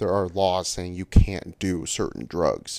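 A man with a very deep, low voice speaks at a fairly slow pace in a dark, mellow tone. The recording is very clean, with a silent background. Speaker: land surveyor. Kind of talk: casual chat. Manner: animated.

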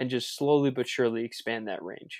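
A man with an American accent speaks at a fairly quick pace in a medium pitch, with a dark, mellow tone and fairly even intonation. The recording is very clean with a silent background, and the sound is dry and close with no echo. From US Mid-Atlantic, Maryland. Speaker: fitness coach and business owner. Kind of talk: casual interview.

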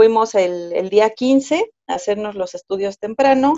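A woman talks in a Mexico City accent. Her pitch varies in an ordinary way. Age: 30s. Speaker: first-time mother telling birth story. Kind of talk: personal testimony in interview.

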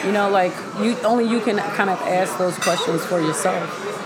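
Recorded with audible room echo and crowd noise behind her, a woman speaks at a moderate pace with a medium pitch and ordinary pitch variation. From Pittsburgh, Pennsylvania. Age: 30s. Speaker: radio host and transformational coach. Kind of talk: casual interview about faith.

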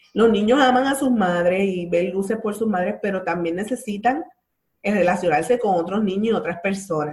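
A woman talks with a plain, everyday voice at a moderate pace. Her medium pitch shows ordinary pitch variation. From Puerto Rico, Bayamón. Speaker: breastfeeding support group leader. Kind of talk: casual interview.

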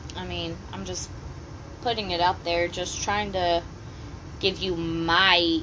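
Flat, monotone intonation runs through very slow speech. Noticeable background noise sits behind it. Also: woman. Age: 30s. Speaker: parent talking with teens. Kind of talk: casual chat.

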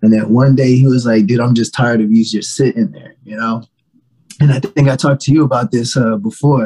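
A man with an American accent talks at a fairly quick pace and medium pitch, his somewhat breathy voice dark and mellow in tone, with ordinary pitch variation and big swings in loudness. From Virginia. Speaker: rapper and singer. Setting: live stream.

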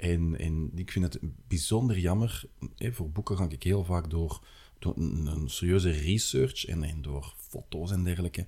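Speaking with an Antwerp accent at a fairly slow pace, a man uses a very deep, low pitch, a dark, mellow tone, ordinary pitch variation and a somewhat breathy sound. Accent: Antwerp Flemish. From Antwerp, Belgium. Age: 40s. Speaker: city guide and author. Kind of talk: casual interview. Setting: studio at a table.

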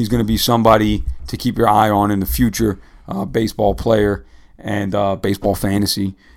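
Using a normal speaking voice, a man with an American accent talks at a fairly quick pace and a fairly low pitch, his intonation fairly even. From New York or New Jersey area. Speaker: podcast host. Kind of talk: casual sports chat.

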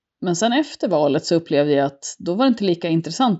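Very wide pitch swings mark this woman's speech. She talks at a fairly quick pace. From Sweden, Mullsjö (Småland). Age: 40s. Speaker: local politician, former teacher. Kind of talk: interview.

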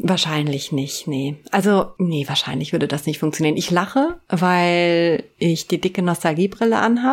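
With a normal speaking voice, a woman talks in a fairly low pitch at a moderate pace, her intonation lively and hardly any pauses between words. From Eifel, western Germany. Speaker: intro voice of the show. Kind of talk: casual chat.

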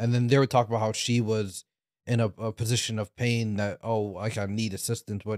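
A man speaks at a fairly quick pace in a normal speaking voice, his pitch medium. The sound is dry and close with no echo, on a very clean recording with a silent background. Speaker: podcast co-host. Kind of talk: casual chat.

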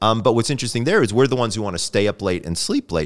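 A man speaks at a medium pitch with an animated tone. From US South. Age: 50s. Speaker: sleep doctor and clinical psychologist. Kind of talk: interview. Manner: animated, casual.

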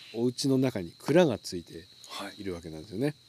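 A man's voice at medium pitch, dark and mellow in tone, with very wide pitch swings and a dry, close sound with no echo. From Tokyo. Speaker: streaming host. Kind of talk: casual chat. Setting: outdoors at a campsite.

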